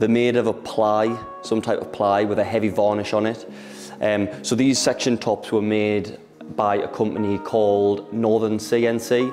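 Over clear music in the background, a man with a fairly low pitch talks with fairly even intonation. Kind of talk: casual tour talk. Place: shop.

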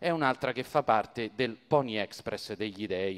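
A man with an animated tone, ordinary pitch variation and a moderate pace. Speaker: stand-up comedian. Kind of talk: stand-up comedy retelling the Iliad with jokes. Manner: animated, jokey, mimicking characters' voices with comic asides; conversational, casual, colloquial and digressive. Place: stage. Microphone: handheld.

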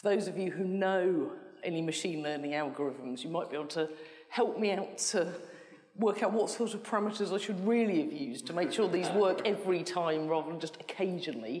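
Over light background noise, a woman talks at a fairly quick pace. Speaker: conference presenter. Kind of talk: lecture. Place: hall.

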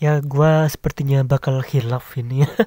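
Speaking with fairly even intonation, a man uses a medium pitch and a dark, mellow tone. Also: moderate pace.

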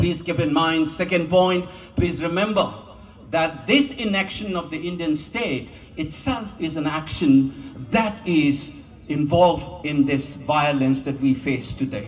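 The voice moves at a fairly slow pace with lively intonation. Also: man. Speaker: speaker. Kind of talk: rally speech. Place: street. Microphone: podium.

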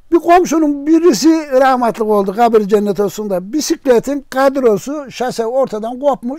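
Speaking at a moderate pace with hardly any pauses, a man has an extremely high pitch, a dark, mellow tone and lively intonation, recorded dry with no echo against a quiet background. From Eskil, Aksaray, Turkey. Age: 80s+. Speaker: welder. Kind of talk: interview answer. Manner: casual, storytelling. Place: home room.

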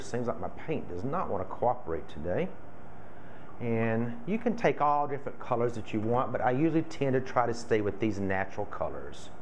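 A man's lively intonation at a moderate pace, with light background noise. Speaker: florist craft demonstrator. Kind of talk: tutorial. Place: home room. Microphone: camera far.

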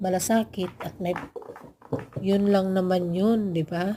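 A woman speaks at a fairly slow pace in a flat monotone, her medium-pitched voice dark, mellow and somewhat breathy. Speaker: vlogger. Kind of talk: casual vlog voice-over.

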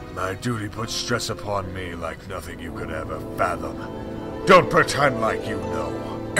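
A man talks at a moderate pace in a very deep, low voice. Loud music plays in the background. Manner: defensive, arrogant, then desperate shouting.

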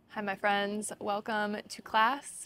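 A woman is speaking. The sound is dry, with no echo. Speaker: yoga teacher. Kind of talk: yoga class instruction. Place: garden.

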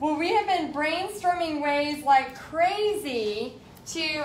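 There is audible room echo and light background noise. Over it, a woman talks in a high pitch. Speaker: art instructor. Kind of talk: casual live-stream chat. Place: home room. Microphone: phone near.

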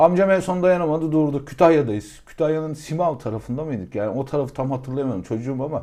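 Against a quiet background, a man with a fairly high pitch and a dark, mellow tone talks at a very fast pace with hardly any pauses and ordinary pitch variation. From Aegean Turkey. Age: 30s. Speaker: real estate consultant. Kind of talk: casual chat.

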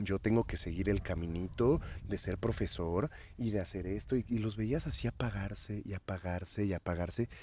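A man with a fairly low pitch speaks at a moderate pace, his voice somewhat breathy and his tone dark and mellow. His pitch varies in an ordinary way, and the recording is very clean with a silent background. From Mexico City. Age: 40s. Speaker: psychedelic activist and DJ. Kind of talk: casual chat. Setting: outdoors in a garden.

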